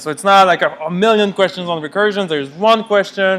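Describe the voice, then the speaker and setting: The voice is loud. It is shouting. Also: man. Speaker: university lecturer (grad student). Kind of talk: lecture. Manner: loud, yelling.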